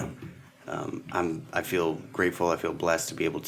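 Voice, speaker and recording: With a very deep, low pitch, a man talks at a fairly quick pace. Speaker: food business founder, interview guest. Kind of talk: interview answer, casual conversation.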